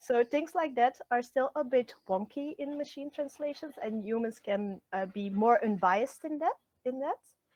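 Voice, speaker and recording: With a Flemish accent, a woman speaks in a high pitch with lively intonation. Her pace is moderate and she hardly pauses. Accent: Belgian Dutch (Flemish) accent in English. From Belgium (Flemish). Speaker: translator and literature lecturer. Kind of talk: interview. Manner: halting, many fillers.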